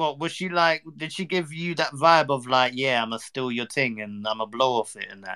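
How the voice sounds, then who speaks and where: With a London accent, a man speaks at a moderate pace in a medium pitch, his tone bright and sharp, with ordinary pitch variation and big swings in loudness. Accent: London multicultural English. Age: 20s. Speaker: streamer. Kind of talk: casual chat. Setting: online live stream.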